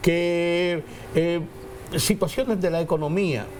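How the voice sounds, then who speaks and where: The man's pace is very slow and his pitch fairly high. Noticeable background noise can be heard. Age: 70s. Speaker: political commentator. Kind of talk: panel discussion.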